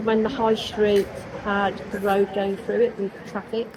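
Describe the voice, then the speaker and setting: A woman with a Birmingham accent, monotone and flat in intonation, over noticeable background noise. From Birmingham, England. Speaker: local resident interviewed on the street. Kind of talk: casual street interview.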